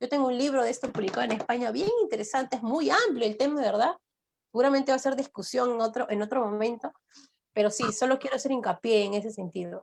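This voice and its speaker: A woman at a very fast pace with a high pitch, ordinary pitch variation and a Peruvian accent. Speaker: law professor. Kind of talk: lecture.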